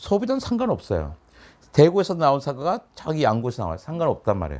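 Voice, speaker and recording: A man talking at a very fast pace, in a very clean recording with a silent background. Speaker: science author. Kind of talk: conversational interview. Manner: animated.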